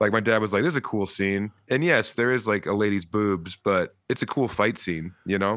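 In an ordinary speaking voice, a man with an American accent talks at a moderate pace and fairly low pitch, with ordinary pitch variation and very even loudness against a quiet background. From US, eastern Colorado (rural). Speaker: comedian. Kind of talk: casual chat. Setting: at home.

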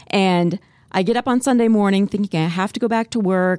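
In an American accent, the voice comes through a very clean recording with a silent background and a dry, close sound with no echo. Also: woman. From US Midwest (Spirit Lake, Iowa). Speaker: TV morning news anchor. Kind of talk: casual chat.

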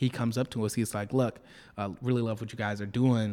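A man with an American accent speaks in an ordinary speaking voice at a medium pitch, on a very clean recording with a silent background. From Detroit, US Midwest. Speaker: startup founder. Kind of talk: interview. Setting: office.

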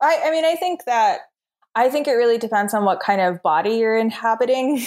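A plain, everyday voice from a woman, fairly high in pitch, with lively intonation at a moderate pace. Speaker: contemporary artist. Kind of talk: casual interview conversation. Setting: video call.

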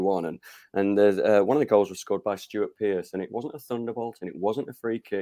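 A fairly low-pitched man speaks in a dark, mellow tone. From northern England, Rotherham (South Yorkshire). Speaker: football author and fan. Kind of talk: interview. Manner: hesitant with fillers.

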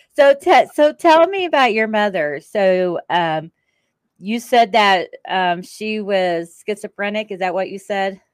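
A woman speaks at medium pitch with very wide pitch swings. Her pace is fairly slow. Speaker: podcast host. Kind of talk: casual interview.

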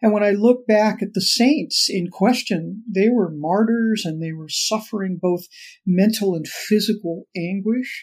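A woman speaks at a fairly slow pace in a somewhat breathy voice with a medium pitch and ordinary pitch variation, in a very clean recording with a silent background. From Los Angeles, US. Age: 60s. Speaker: author, former cult member. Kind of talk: interview conversation.

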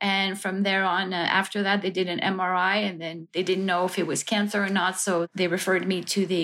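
At a medium pitch and moderate pace, a woman with a Quebec accent speaks in a monotone, flat intonation. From Montreal, Quebec. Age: 50s. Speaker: cancer patient and plaintiff. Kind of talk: interview testimony. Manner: hesitant, with fillers.

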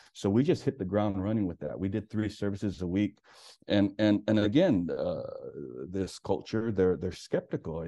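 With an American accent, a man talks at a moderate pace in a fairly low pitch, his tone dark and mellow, his pitch varying in an ordinary way over a quiet background. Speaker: pastor. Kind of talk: testimony. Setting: phone call.

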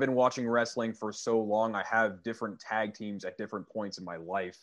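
A man is speaking. His pace is moderate. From Canada. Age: 20s. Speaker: metal band musician. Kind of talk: casual chat.

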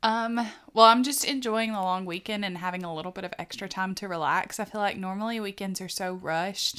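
A woman speaks at a medium pitch and a fairly quick pace with fairly even intonation. Her tone is bright and sharp on a very clean recording with a silent background. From US South. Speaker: podcast co-host. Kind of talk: casual chat.

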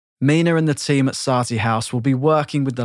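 This is an ordinary speaking voice: a man at a medium pitch and a fairly quick pace. The sound is dry and close with no echo, on a very clean recording with a silent background. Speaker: podcast narrator. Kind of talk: scripted narration.

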